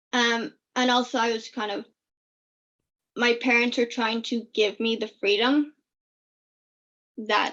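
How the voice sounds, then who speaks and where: A woman's fairly high, bright, sharp voice, monotone and flat, at a fairly slow pace with long, frequent pauses. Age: 20s. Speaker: FASD advocate. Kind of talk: interview answer. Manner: eloquent.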